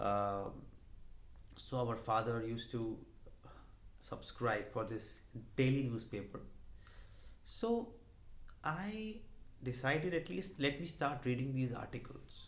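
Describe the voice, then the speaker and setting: With an Indian accent, a man of medium pitch speaks somewhat breathily at a fairly slow pace, with ordinary pitch variation, long and frequent pauses, and audible room echo. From India, Delhi. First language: Hindi. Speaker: YouTuber, finance and motivation channel. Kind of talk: personal vlog monologue. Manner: hesitant with many fillers.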